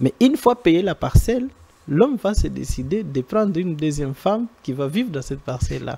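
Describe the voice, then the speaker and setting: A man with a non-native accent talks at a moderate pace in a dark, mellow tone, his pitch swinging very widely. The sound is dry and close, with no echo. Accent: non-native French, strained. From eastern DR Congo (Goma). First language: Swahili (speaking French). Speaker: NGO director, rural development technician. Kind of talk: TV studio interview.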